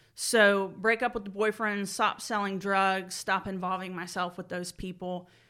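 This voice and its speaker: A woman with an American accent speaks at a fairly slow pace and a medium pitch, her tone bright and sharp. Her intonation is fairly even, and the recording is very clean with a silent background. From Georgia, US South (Marietta). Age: 30s. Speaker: recovering addict sharing her story. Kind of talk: personal testimony interview.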